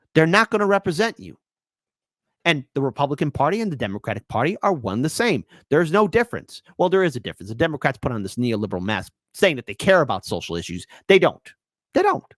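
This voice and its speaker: Very fast and fairly high-pitched, a man talks with vocal fry, very wide pitch swings and big swings in loudness, in a dry, close recording with no echo that is very clean with a silent background. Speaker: political news commentator. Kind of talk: news commentary reading articles aloud. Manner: occasional stuttering; animated.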